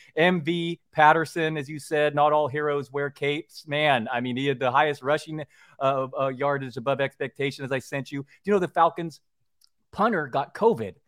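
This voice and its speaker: Here is a plain, everyday voice from a man with a fairly high pitch. He moves at a fairly quick pace with ordinary pitch variation. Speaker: sports writer and podcaster. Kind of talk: casual chat about football survivor pools. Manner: casual, conversational.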